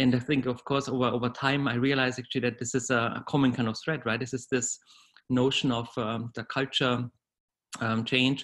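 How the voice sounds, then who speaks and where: With a German accent, a man talks at a moderate pace in a medium pitch, his intonation flat and monotone. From Bavaria, southern Germany. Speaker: corporate HR executive. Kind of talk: interview, conversational. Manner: hesitant, with fillers and repetitions.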